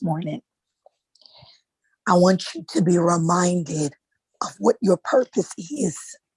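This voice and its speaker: A woman with a fairly low pitch talks at a fairly slow pace, her voice somewhat breathy and the sound dry and close with no echo. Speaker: author and motivational speaker. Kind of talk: motivational talk.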